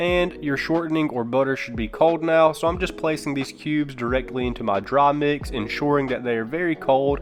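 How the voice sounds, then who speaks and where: Talking at a fairly quick pace with a slight Southern US accent, a man uses a fairly high pitch and ordinary pitch variation amid noticeable background noise. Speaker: cooking youtuber. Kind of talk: cooking tutorial.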